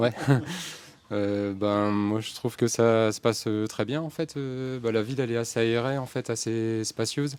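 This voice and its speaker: A man's medium-pitched voice at a fairly slow pace with fairly even intonation. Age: 40s. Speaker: gardener working by bike. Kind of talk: round-table interview. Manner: halting, many hesitations.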